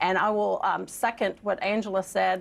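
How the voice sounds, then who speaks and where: In an American accent, a woman speaks at a moderate pace and a medium pitch. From US South, Georgia (DeKalb County). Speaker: political commentator. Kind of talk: panel discussion. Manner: halting.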